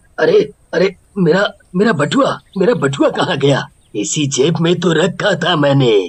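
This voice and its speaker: A cartoonish character voice with lively intonation, very even loudness and a fairly slow pace. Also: man, high pitch for a man. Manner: shaky, halting.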